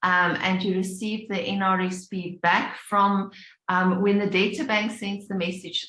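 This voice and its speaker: At a fairly slow pace, a woman talks at a medium pitch in an unremarkable speaking voice. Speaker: payments industry presenter. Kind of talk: webinar presentation.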